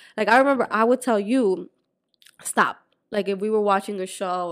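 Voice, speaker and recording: A woman with a slight Spanish accent speaks with ordinary pitch variation on a very clean recording with a silent background. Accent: light Spanish-accented English. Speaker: podcast co-host. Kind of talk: casual chat.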